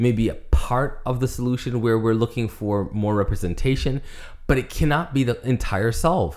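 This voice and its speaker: There is an ordinary speaking voice here, a man talking at a moderate pace with ordinary pitch variation. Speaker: podcast co-host. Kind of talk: casual podcast chat.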